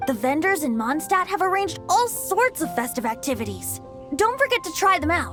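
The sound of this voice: In a put-on character voice, a woman speaks at an extremely high pitch with big pitch swings and a fairly bright tone at a moderate pace, with faint music in the background.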